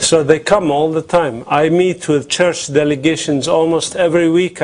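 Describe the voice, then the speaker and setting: Noticeable background noise sits behind a man's voice. He speaks at a fairly slow pace and a fairly high pitch. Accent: Arabic. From Palestine. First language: Arabic. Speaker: activist and author. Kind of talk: conference panel talk. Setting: conference with audience and translator. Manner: passionate.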